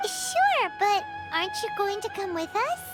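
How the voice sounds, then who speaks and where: A put-on character voice at an extremely high pitch moves at a moderate pace amid loud background noise. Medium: video game. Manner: lively, casual.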